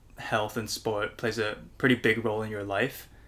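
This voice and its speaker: A man's medium-pitched voice with a bright, sharp tone on a very clean recording with a silent background. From Hong Kong. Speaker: podcast host. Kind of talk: casual interview chat.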